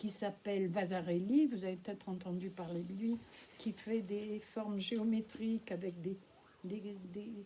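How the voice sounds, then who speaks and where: A woman speaks at a fairly slow pace with fairly even intonation and a medium pitch. Noticeable background noise sits behind her. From France. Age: 80s+. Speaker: Holocaust witness speaking at schools. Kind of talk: testimony to school pupils. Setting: school classroom with pupils.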